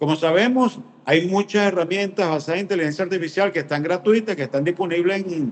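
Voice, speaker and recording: A man speaks at a very fast pace. His pitch is high, with ordinary pitch variation. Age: 60s. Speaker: business consultant. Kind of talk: interview.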